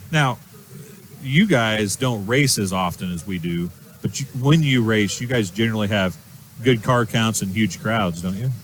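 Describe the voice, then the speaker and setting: Speaking at a moderate pace in a normal speaking voice, a man keeps a fairly low pitch and ordinary pitch variation. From United States. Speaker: racing show host. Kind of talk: interview.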